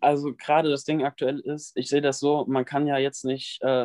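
A man with a fairly high pitch talks at a moderate pace in a monotone, flat intonation, with a quiet background. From western Germany, near Bonn. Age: young. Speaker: fitness influencer, trainee physiotherapist. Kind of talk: interview. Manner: hesitant, many fillers.

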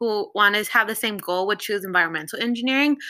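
Talking very fast, a woman with a Californian accent has a bright, sharp tone and ordinary pitch variation. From Los Angeles. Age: 20s. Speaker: engineering student. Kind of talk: casual chat. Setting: at home with housemates.

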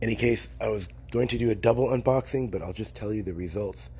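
The speaker talks at a fairly quick pace with a dark, mellow tone and some vocal fry. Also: man. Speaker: tabletop gaming podcast host. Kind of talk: casual podcast monologue. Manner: hesitant, many fillers.

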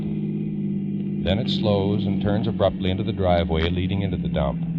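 A man speaks at a moderate pace in a dramatic tone. Noticeable background noise is audible. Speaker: radio narrator. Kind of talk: old-time radio drama narration. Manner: crisp, grave, dramatic mid-century radio announcer delivery, urgent and portentous.

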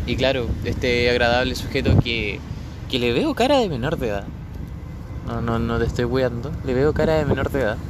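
Through audible room echo and noticeable background noise, a man speaks with a Chilean accent. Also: moderate pace. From Chile, Biobío region (Florida). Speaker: podcaster. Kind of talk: casual monologue. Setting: outdoors by the sea.

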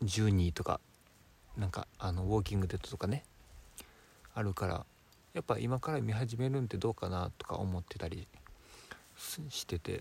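A quiet, calm, somewhat breathy man's voice, fairly low in pitch with ordinary pitch variation, at a moderate pace with long, frequent pauses. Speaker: designer, podcast co-host. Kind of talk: casual chat. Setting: campsite, by a campfire. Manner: quieter, calm delivery.

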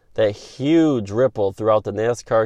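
This man, with an American accent, talks at a moderate pace in a medium pitch with ordinary pitch variation. The sound is dry and close with no echo, over a quiet background. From upstate New York. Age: 30s. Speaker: sports podcast host. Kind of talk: solo opinion podcast monologue.

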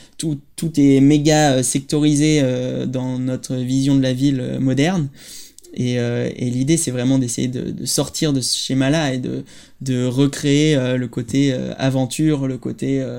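Over noticeable background noise, a man with a medium-pitched voice talks at a very slow pace in a flat, monotone delivery. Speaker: architect and playground designer. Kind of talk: interview. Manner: halting.

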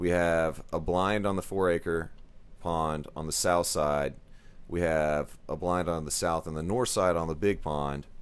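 Speaking with a Texas accent, a man talks at a fairly slow pace in a very deep, low voice with fairly even intonation. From Texas, Dallas area. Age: 30s. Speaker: podcast host and realtor. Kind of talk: casual chat.

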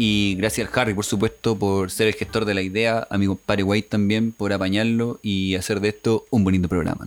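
A man with a Chilean accent speaks at a fairly quick pace with hardly any pauses, in a fairly low pitch. His intonation is flat and monotone, with music in the background. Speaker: podcast co-host. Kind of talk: casual chat.

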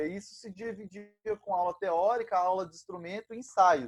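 A man with a high-pitched voice. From Brazil, interior of São Paulo state (Ilha Solteira). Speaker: musician and band conductor. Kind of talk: casual interview chat.

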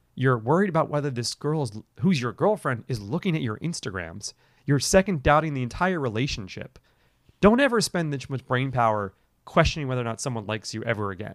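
A man with an American accent talks at a very fast pace and a medium pitch, with very wide pitch swings. The recording is very clean, with a silent background. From New York City. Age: 30s. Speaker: film writer-director. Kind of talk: casual chat.

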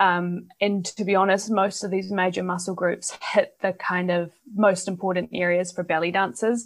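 A woman speaks at a moderate pace with hardly any pauses. Her intonation is monotone and flat. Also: medium pitch for a woman. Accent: New Zealand. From New Zealand. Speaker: belly dancer and exercise scientist. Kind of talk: interview.

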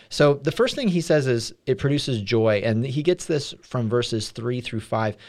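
In a very clean recording with a silent background, a man with an unremarkable speaking voice talks at a moderate pace, at a medium pitch with ordinary pitch variation. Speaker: church staff podcast host. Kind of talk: casual chat about a sermon.

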